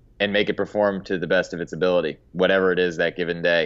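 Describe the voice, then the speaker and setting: A man speaks at a fairly quick pace in a very deep, low pitch. The background is quiet. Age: young. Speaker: golf teaching pro. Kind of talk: podcast interview.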